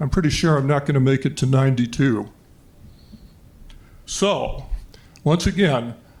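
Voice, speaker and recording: A somewhat breathy man speaks at a fairly high pitch, leaving long, frequent pauses. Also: ordinary pitch variation, moderate pace, very even loudness. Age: 70s. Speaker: public commenter at school board meeting. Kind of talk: public comment.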